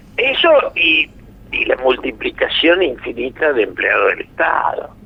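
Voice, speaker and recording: Against noticeable background noise, a man speaks at a very even loudness. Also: fairly slow pace. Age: 80s+. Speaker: political analyst. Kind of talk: radio interview. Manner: animated.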